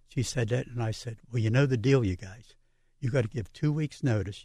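A man's dark, mellow, somewhat breathy voice at medium pitch, with ordinary pitch variation and a fairly quick pace. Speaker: water treatment business owner. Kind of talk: radio interview.

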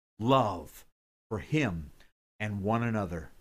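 The recording is very clean with a silent background, capturing a man with a fairly low pitch. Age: 60s. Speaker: pastor. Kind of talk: Bible teaching podcast. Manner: casual, folksy, with fillers; animated.

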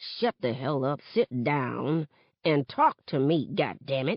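A put-on character voice sits at a low-to-middle pitch with a hissing sound. The pace is fairly slow. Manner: hissing, angry, commanding.

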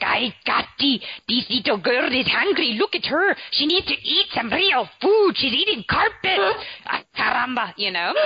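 Using a put-on character voice, a woman speaks at a high pitch with very wide pitch swings and very even loudness. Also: moderate pace. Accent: strong Peruvian. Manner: scolding, exclaiming.

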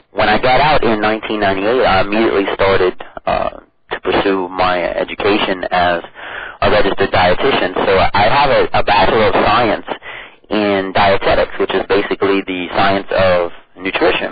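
A man with an American accent at a fairly low pitch and moderate pace, with fairly even intonation and very even loudness, over noticeable background noise. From US South, southeast Louisiana Cajun. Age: 30s. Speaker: powerlifter and dietitian. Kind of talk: interview.

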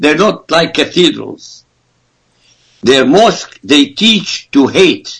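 At a very slow pace, a man with an Arabic accent and high pitch speaks with lively intonation. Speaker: author and political commentator. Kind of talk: radio interview. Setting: Skype call. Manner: forceful.

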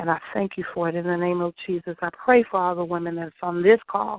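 A woman with an ordinary speaking voice keeps to a moderate pace. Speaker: prayer participant. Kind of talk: fervent prayer.

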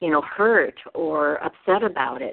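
This woman has a normal speaking voice, fairly low in pitch, and talks at a fairly slow pace. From Oregon, USA (born in Taiwan, raised partly in Japan). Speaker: writer and radio producer. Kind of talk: casual interview chat.

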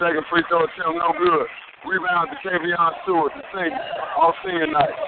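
There is noticeable background noise. Over it, a man talks in a high pitch with an animated tone. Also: ordinary pitch variation, moderate pace. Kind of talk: live commentary. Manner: animated, punchy, exclaiming.

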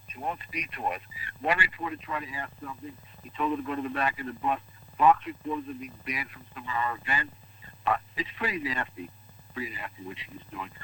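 Someone with an American accent speaks fairly quickly in an ordinary speaking voice, with big swings in loudness and ordinary pitch variation. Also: man, fairly high pitch for a man. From New York City. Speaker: medical doctor, weekly political commentator. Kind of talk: radio phone interview.

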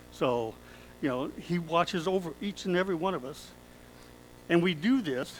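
Long, frequent pauses break up a man's speech at a moderate pace. His pitch is high and his intonation lively. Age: 60s. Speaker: pastor. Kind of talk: sermon. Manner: conversational, with laughter.

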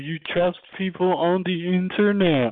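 Using a put-on character voice, a man speaks at a high pitch and a moderate pace with ordinary pitch variation. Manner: mocking, skeptical.

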